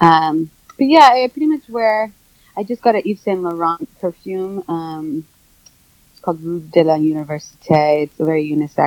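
A woman with an ordinary speaking voice talks at a moderate pace, her pitch fairly low, her intonation lively and her loudness swinging widely, in a dry, close sound with no echo. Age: 40s. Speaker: wellness and addiction specialist, author. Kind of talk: interview. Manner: filler-heavy (um, like, you know).

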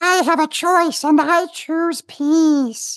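Squeaky and high-pitched, a put-on character voice speaks at a very slow pace.

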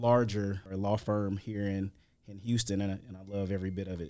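In an American accent, the speaker keeps a flat, monotone delivery at a moderate pace, the tone dark and mellow. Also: man. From US Midwest, St. Louis, Missouri. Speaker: tax attorney and crypto expert. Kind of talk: casual interview.

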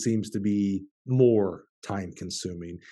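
Against a quiet background, a man with a Southern US accent speaks with a fairly low pitch, a dark, mellow tone and ordinary pitch variation. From Alabama. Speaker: podcast host. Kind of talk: interview.

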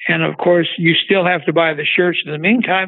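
Here a man speaks at a high pitch with fairly even intonation. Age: 80s+. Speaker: car parts business owner. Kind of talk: interview. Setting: phone call.

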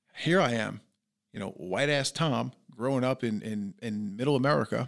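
This man has a New York accent. He talks at a moderate pace with ordinary pitch variation. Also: very clean recording, silent background. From New York, Long Island. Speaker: entrepreneur and business coach. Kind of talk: interview conversation. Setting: podcast studio. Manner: loud.

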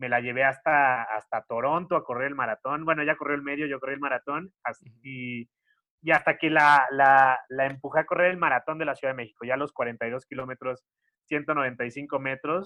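In a Mexican accent, a man talks with fairly even intonation. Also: fairly high pitch for a man, moderate pace. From Mexico, Xalapa, Veracruz. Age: 30s. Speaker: content creator. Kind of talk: casual interview.

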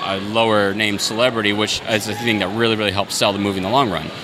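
A very fast-talking man with an American accent and a fairly low pitch, against noticeable background noise. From US Southwest, Yuma, Arizona. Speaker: indie filmmaker. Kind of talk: casual interview. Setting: convention floor.

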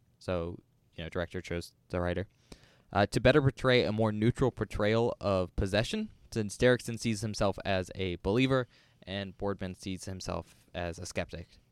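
In a plain, everyday voice, a man speaks at a moderate pace and fairly low pitch with ordinary pitch variation, heard dry and close with no echo on a very clean recording against a silent background. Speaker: podcast host and college student. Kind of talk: casual chat.

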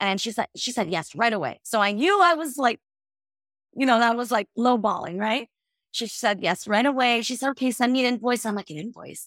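With a normal speaking voice, a woman talks at a fairly quick pace and a fairly high pitch with lively intonation, in a dry, close sound with no echo. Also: very clean recording, silent background. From US, raised in housing projects. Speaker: motivational speaker and coach. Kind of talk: interview.

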